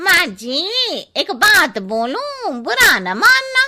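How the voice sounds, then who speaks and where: A woman performs a cartoonish character voice at an extremely high pitch. She speaks very slowly, with very wide pitch swings. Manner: blunt, cheeky.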